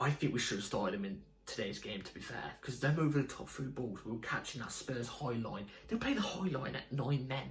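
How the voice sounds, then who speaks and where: Noticeable background noise and audible room echo surround a voice with lively intonation moving at a fairly quick pace. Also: man. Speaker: football fan video creator. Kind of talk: casual fan match review. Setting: home at night.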